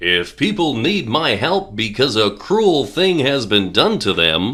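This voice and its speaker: A man uses a put-on character voice at medium pitch with very wide pitch swings. He goes at a fairly slow pace, his loudness very even. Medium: read story. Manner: stern, authoritative.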